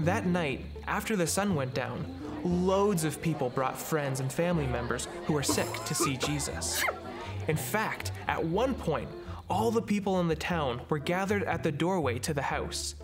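A man talks at a moderate pace. Clear music plays in the background. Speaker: storyteller host. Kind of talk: children's story reading. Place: studio.

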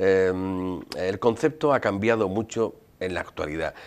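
The pace here is fairly slow. It is a man talking. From Andalusia, Jerez de la Frontera; Andalusia. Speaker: sherry historian and researcher; interview guest. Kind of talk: interview. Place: studio. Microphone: lapel.

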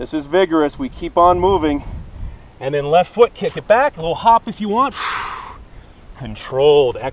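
At a fairly slow pace, a man's high voice makes very wide pitch swings, heard as a dry sound with no echo. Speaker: fitness instructor. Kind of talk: guided yoga workout instruction with upbeat banter. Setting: outdoors. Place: open country.

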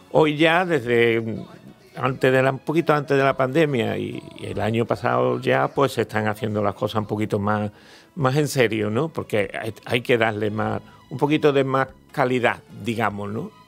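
Here a man speaks in an Andalusian accent at a moderate pace. His pitch is medium, with ordinary variation. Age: 70s. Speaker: horse show organizer. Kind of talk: radio interview. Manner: halting, with fillers.

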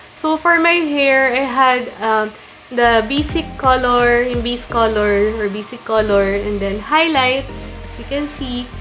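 Woman at a fairly slow pace with lively intonation over light background noise. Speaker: lifestyle vlogger. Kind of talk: casual vlog chat. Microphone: phone near.

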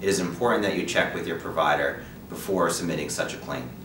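A man with a very deep, low pitch speaks at a fairly quick pace against noticeable background noise. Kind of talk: scripted informational presentation. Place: office.

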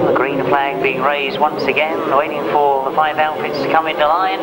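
Loud background noise fills the recording. Over it, a man speaks at a fairly quick pace. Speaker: race commentator. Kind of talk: sports commentary.

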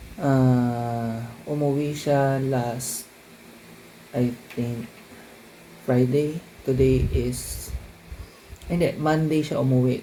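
With audible room echo and noticeable background noise, a man speaks at a medium pitch with ordinary pitch variation. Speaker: vlogger. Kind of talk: vlog talking to camera. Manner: casual, chatty.

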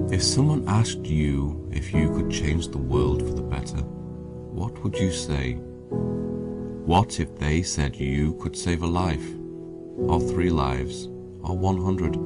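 A man speaks at a very slow pace. Loud music plays in the background. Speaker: voice actor. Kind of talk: public service announcement read. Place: booth. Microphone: studio mic.

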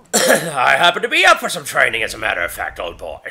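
A man rattles along at a very fast pace in a put-on character voice. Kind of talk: comic overacting. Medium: game stream. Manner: boisterous, joking.

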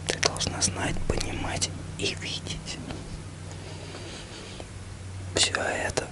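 Someone is whispering at a very slow pace. Loud background noise fills the recording. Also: man. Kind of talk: personal heartfelt message to camera. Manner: close intimate ASMR whisper. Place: home room. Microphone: phone near.

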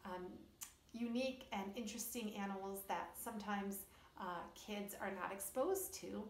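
The intonation is fairly even, with audible room echo and light background noise. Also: woman. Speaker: children's storyteller. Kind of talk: educational talk to kids. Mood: warm, cheerful. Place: home room. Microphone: phone near.

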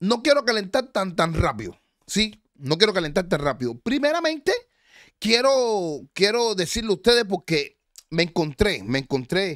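The voice has an animated tone, with very wide pitch swings. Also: man, high pitch for a man, moderate pace, quiet background. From Cuba, Havana; Cuba. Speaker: online show host. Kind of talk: live stream chat and commentary. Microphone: studio mic.

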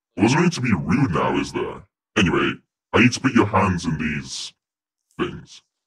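A man puts on a character voice at a fairly low pitch, with very wide pitch swings and long, frequent pauses. There is a slight echo. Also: moderate pace. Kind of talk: comic parody of a horror villain. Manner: pompous, theatrical, easily flustered.

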